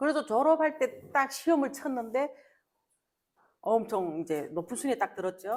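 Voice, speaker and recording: Her pitch swings very widely. This woman keeps to a moderate pace. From North Korea. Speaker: North Korean defector sharing life story. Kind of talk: interview conversation before an audience.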